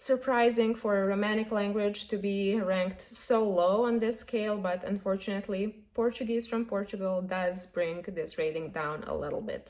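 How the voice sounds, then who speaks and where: A woman with a Serbian accent, fairly high in pitch with ordinary pitch variation, at a moderate pace. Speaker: polyglot YouTuber. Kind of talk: casual vlog monologue.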